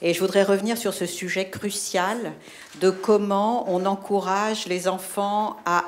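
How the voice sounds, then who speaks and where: A woman's medium-pitched voice at a very slow pace. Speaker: philosophy teacher, foundation head. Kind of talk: audience question in debate. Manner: loud, projecting voice.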